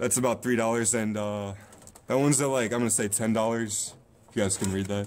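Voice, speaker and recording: A man talks at a very fast pace with fairly even intonation. Light background noise can be heard. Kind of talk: casual vlog chat. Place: shop. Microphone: phone near.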